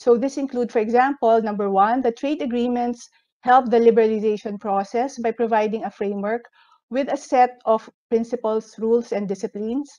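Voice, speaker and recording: Fairly even intonation and a dark, mellow tone carry a fairly quick pace over a quiet background. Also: woman, fairly high pitch for a woman. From Philippines. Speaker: economic researcher; presenter. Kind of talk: presentation. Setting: video call. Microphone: video call.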